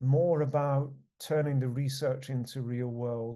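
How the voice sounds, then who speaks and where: Against a quiet background, a man with a British accent speaks very slowly in a dark, mellow tone. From United Kingdom. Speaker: research network leader. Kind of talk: conference presentation. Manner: halting, many fillers and repetitions.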